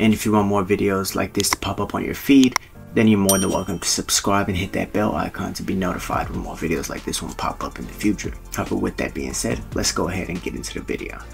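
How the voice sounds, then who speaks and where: Over clear background music, a man speaks at a very fast pace with a fairly low pitch and ordinary pitch variation. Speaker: MMA channel host. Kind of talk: commentary. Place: home room.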